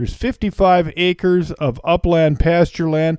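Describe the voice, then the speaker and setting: A man speaks with an American accent in a high pitch and a dark, mellow tone. The sound is dry and close, with no echo. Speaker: auctioneer. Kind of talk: property tour narration, real estate sales pitch. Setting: outdoors on location.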